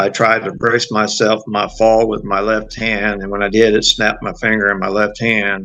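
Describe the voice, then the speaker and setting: Against a quiet background, a man with an American accent speaks in a bright, sharp tone at a fairly low pitch and moderate pace, monotone and flat, with hardly any pauses. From Southern California. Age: 60s. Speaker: retired law enforcement officer. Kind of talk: testimony. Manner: halting, frequent uh fillers.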